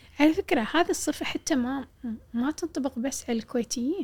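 In a very clean recording with a silent background, a woman speaks with a Kuwaiti accent. Her pitch is high and her intonation lively. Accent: Kuwaiti Gulf Arabic. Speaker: poet and journalist. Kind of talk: casual interview conversation.

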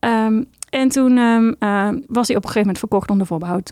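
A woman's fairly high, slightly mellow voice at a fairly quick pace, with ordinary pitch variation and a dry, close sound without echo.

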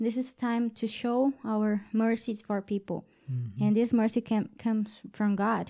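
A woman with a Portuguese accent has a dark, mellow, somewhat breathy tone and fairly even intonation, yet big swings in loudness. Her recording is very clean, the background silent. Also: fairly high pitch for a woman, moderate pace. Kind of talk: casual faith conversation. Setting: studio. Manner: halting.

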